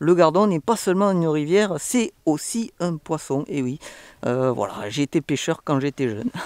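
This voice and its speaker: A man speaks at a moderate pace with a southwestern French accent and lively intonation, recorded very cleanly with a dry, close sound, no echo and a silent background. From southwest France, Toulouse. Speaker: travel vlogger. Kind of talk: casual travel vlog. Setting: outdoors, in a canoe on a river. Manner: hesitant, many filler sounds.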